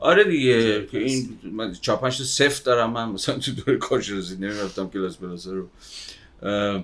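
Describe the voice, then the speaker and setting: A man with a plain, everyday voice talks at a moderate pace, medium pitch and ordinary pitch variation. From Iran, Babol, Mazandaran. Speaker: sociologist. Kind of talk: casual chat.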